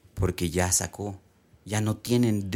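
In a very clean recording with a silent background, a normal speaking voice moves at a fairly slow pace with ordinary pitch variation. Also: man. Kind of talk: casual faith discussion.

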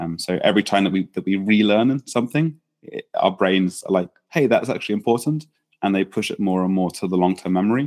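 Speaking at a fairly quick pace with an English accent, a man with a fairly low pitch and ordinary pitch variation is heard in a dry, close sound with no echo. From England. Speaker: startup founder and founder coach. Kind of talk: interview. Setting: in person, same room.

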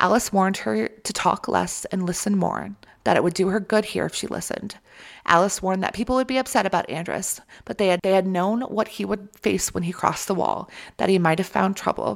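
Vocal fry runs through this woman's fairly quick speech. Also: medium pitch for a woman, ordinary pitch variation. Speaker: podcast host. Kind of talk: casual chat. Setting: remote recording. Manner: animated.

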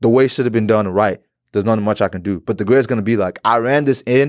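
A man speaks at a very fast pace with medium pitch and ordinary pitch variation. The recording is very clean with a silent background and a dry, close sound with no echo. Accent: American. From Texas. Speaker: podcast host. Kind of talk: casual chat.

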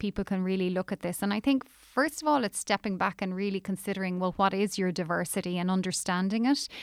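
In an Irish accent, a woman talks at a very fast pace and a medium pitch with hardly any pauses. The recording is very clean, dry and close, with a silent background and no echo. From Ireland. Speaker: recruitment industry executive. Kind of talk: interview.

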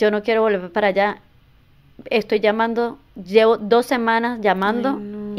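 A woman talks in a normal speaking voice at a fairly high pitch. Her pace is moderate and her intonation fairly even. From Venezuela, border state near Colombia. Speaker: immigration and tax services business owner. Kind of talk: interview.

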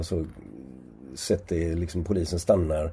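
A man's voice comes through somewhat breathy. Its tone is dark and mellow. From Sweden, Gothenburg. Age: 70s. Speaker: sociologist and professor. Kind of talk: interview conversation. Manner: halting, many repetitions and fillers.

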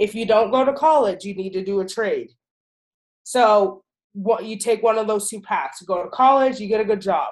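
Lively intonation marks the speech of a woman whose voice is fairly high-pitched. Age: 20s. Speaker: podcast co-host. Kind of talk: casual chat. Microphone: computer technical issues.

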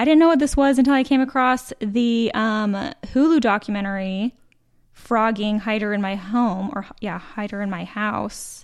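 A woman's plain, everyday voice in an American accent, fairly high-pitched and at a moderate pace, in a very clean recording with a silent background. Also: ordinary pitch variation. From Utah. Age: 30s. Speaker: podcast co-host. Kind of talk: casual chat.

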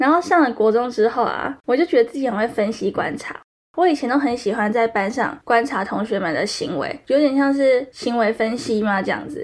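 A woman with a Taiwanese accent talks at a fairly quick pace and a high pitch, with lively intonation and hardly any pauses. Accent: Taiwanese Mandarin. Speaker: solo podcast host, university student. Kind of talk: personal monologue. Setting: recording studio. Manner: rising sentence endings.

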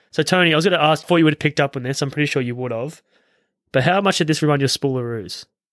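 A very fast man's voice with an Australian accent, fairly high in pitch with ordinary variation, in a dry, close recording with no echo and a very clean, silent background. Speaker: film podcast host. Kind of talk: casual chat.

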